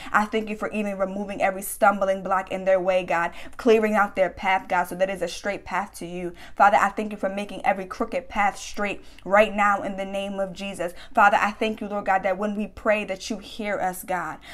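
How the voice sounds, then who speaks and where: The woman speaks with a passionate tone at a fairly quick pace. Her intonation stays fairly even. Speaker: prayer leader. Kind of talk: fervent spoken prayer. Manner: earnest, passionate, declaring; rhythmic, repetitive, with frequent hallelujahs. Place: home room. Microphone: phone near.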